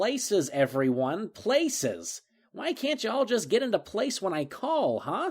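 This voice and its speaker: Using a put-on character voice, a man speaks high at a moderate pace with very wide pitch swings, on a very clean recording with a silent background. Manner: exasperated, scolding, bossy.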